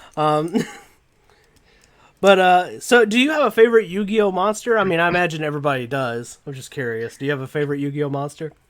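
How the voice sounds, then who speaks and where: Very fast speech with lively intonation, in an American accent. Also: man, fairly high pitch for a man, big swings in loudness. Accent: Southern US accent, slight, thick when angry. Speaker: YouTuber, card game channel host. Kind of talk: casual interview chat. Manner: animated.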